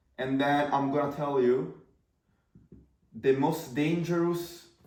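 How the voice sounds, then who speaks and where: Audible room echo surrounds a man's fairly high voice. His pitch variation is ordinary. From Italy. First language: Italian. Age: 20s. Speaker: marketing entrepreneur. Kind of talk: casual talking-head video. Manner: casual, filler-heavy.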